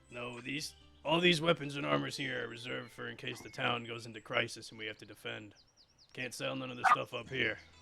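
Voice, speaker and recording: A man puts on a raspy character voice at medium pitch, talking at a fairly quick pace over faint background music. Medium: actual play. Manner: gruff, weary.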